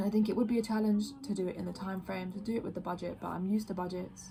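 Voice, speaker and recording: A woman's medium-pitched, ordinary speaking voice with fairly even intonation. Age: 20s. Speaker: design graduate and ceramicist. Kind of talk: video application pitch. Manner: casual with filler words.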